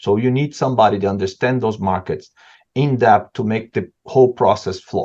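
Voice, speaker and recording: A man with a strong non-native accent, medium pitch, and a fairly quick pace. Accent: non-native, strong (self-described horrible). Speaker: supply chain expert, panelist. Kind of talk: webinar panel discussion. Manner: halting, many repetitions.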